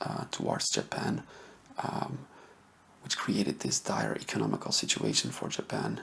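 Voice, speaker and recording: The voice is soft-spoken over noticeable background noise. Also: man. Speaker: history ASMR YouTuber. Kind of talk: soft-spoken ASMR history talk to camera.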